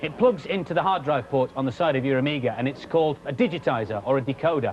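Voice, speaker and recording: Through noticeable background noise, a man speaks very fast with lively intonation at a fairly high pitch for a man. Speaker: TV presenter. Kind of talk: children's TV tech demo. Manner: upbeat, jokey.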